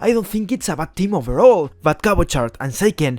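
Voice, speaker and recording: With a Spanish accent, a man speaks at a high pitch and moderate pace. His intonation is lively. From Spain. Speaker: esports YouTuber. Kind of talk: scripted commentary.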